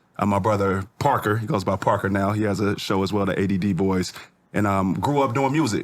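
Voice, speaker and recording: An unremarkable speaking voice at a fairly quick pace, with ordinary pitch variation, very even loudness, and a very clean recording over a silent background. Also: man, fairly low pitch for a man. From US Pacific Northwest (Federal Way, Washington; born St Louis, moved at 10). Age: 40s. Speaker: rapper and clothing entrepreneur. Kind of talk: podcast interview, telling life story. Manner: casual, with frequent fillers and restarts.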